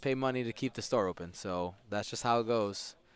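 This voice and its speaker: A man uses a normal speaking voice, pitched medium, at a moderate pace with ordinary pitch variation. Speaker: tournament stream commentator. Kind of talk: live commentary. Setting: game store during tournament.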